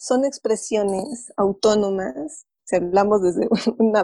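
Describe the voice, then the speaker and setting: Fairly high in pitch with ordinary variation, a woman speaks in a dark, mellow tone. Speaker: psychologist and therapist. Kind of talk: casual interview. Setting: video call.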